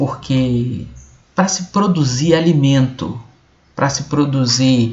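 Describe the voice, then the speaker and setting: A man's somewhat breathy voice at a very slow pace, with ordinary pitch variation. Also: fairly high pitch for a man. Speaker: video blogger. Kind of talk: explainer monologue. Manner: halting.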